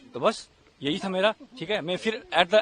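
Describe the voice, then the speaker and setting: A man speaks with a high-pitched voice over noticeable background noise. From India. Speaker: Pakistani-origin resident facing deportation. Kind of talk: street interview.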